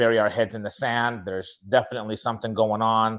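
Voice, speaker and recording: Speaking at a fairly quick pace with a Spanish accent, this voice comes over a quiet background. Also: man. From Chile, moved to Utah at nine. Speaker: speaker and author. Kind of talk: interview, personal story. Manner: animated storytelling.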